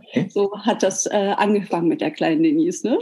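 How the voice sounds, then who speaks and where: An unremarkable speaking voice is heard here. It moves at a moderate pace. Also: woman. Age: 40s. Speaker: hair salon owner. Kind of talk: interview.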